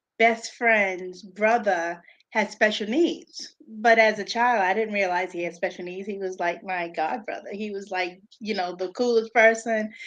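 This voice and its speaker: Speaking at a fairly slow pace against a quiet background, a woman with a New York accent uses a medium pitch and ordinary pitch variation, her loudness swinging widely. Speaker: special education teacher and tutor. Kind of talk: live-stream interview.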